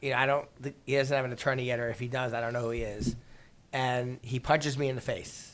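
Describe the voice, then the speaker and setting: Delivered in a New York accent, the speech moves at a very fast pace with monotone, flat intonation. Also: man, medium pitch for a man. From New York City, Queens. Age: 50s. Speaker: real estate attorney. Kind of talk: podcast interview, storytelling.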